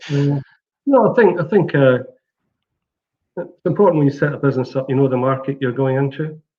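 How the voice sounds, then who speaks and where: The speech is somewhat breathy and fairly quick, with ordinary pitch variation and long, frequent pauses. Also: man, fairly high pitch for a man. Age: 60s. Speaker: platform company CEO. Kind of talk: interview. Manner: halting.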